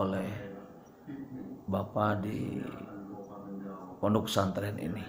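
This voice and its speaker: A fairly low-pitched man is heard with audible room echo and noticeable background noise. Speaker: Islamic boarding school teacher. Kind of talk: religious lesson. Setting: recorded video at boarding school.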